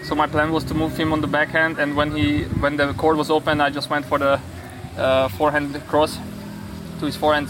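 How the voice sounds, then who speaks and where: Fairly quick and fairly even in intonation, a man talks over noticeable background noise. His pitch is fairly high. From Hungary. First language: Hungarian (speaking German). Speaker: professional tennis player. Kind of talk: interview.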